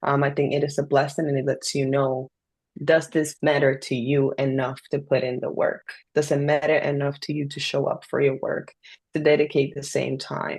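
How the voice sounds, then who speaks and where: With a Spanish accent, a woman speaks at a moderate pace in a very deep, low pitch, somewhat breathy and with monotone, flat intonation. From Dominican Republic. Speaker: poet and self-published author. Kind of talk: interview.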